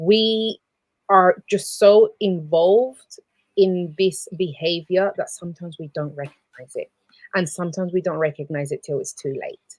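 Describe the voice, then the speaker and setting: A medium-pitched woman with a Spanish accent at a moderate pace, ordinary pitch variation and big swings in loudness, in a dry, close sound with no echo. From South America. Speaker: abuse counsellor. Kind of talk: live show chat. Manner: halting.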